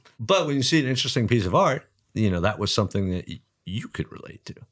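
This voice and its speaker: This man talks at a very fast clip with an American accent, his medium-pitched voice making very wide pitch swings. The recording is very clean, with a silent background. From New Jersey, US. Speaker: artist. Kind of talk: casual interview.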